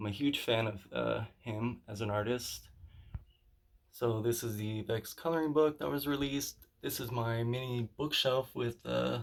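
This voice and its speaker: A man speaks at a fairly slow pace and a medium pitch. His voice is shaky, with ordinary pitch variation. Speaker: artist showing his art room. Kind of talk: room tour video. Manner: halting, many filler words; shaky voice.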